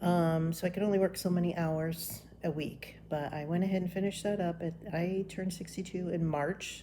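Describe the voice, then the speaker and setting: At a moderate pace and with hardly any pauses, a woman speaks in a fairly low, somewhat breathy voice with a dark, mellow tone. Her intonation is monotone and flat, and her tone is relaxed. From Florida. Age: 60s. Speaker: retiree vlogger. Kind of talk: casual vlog monologue. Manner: relaxed, with frequent ums.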